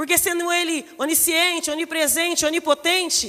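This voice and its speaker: A soft-spoken woman talks at a moderate pace with fairly even intonation. Her pitch is extremely high and her tone is bright and sharp. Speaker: preacher. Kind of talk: sermon. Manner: starts soft, grows louder.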